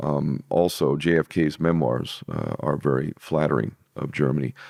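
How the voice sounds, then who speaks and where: Vocal fry runs through speech at a moderate pace with fairly even intonation. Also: man, very deep, low pitch for a man. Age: 50s. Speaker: interview guest, alternative-history commentator. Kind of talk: podcast interview conversation.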